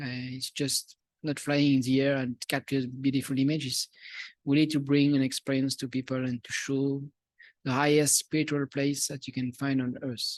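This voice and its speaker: A man with a Swiss French accent speaks at a moderate pace in a fairly high pitch, his intonation monotone and flat. The sound is dry and close with no echo, against a quiet background. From Switzerland. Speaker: musician and video producer. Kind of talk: audience Q&A. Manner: halting.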